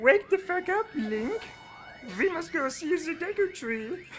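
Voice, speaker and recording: A put-on character voice at an extremely high pitch and fairly slow pace, with clear music in the background. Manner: silly, exaggerated.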